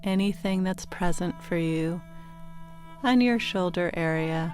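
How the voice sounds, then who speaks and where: A woman speaks in a soothing, calm tone at a fairly slow pace. Her fairly low pitch has ordinary variation, with music in the background. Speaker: meditation guide. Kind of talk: guided sleep meditation. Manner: soothing, slow, calm.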